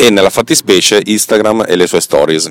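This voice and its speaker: The sound is dry and close with no echo. A man talks at a fairly quick pace. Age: 40s. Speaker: podcast host. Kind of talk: monologue. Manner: halting.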